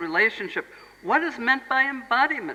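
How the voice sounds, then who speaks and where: The speaker has an American accent. Noticeable background noise can be heard. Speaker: Montessori educator, speaker. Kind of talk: lecture.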